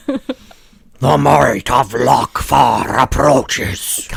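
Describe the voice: In a put-on character voice, a man drags out his words at a very slow pace, raspy throughout.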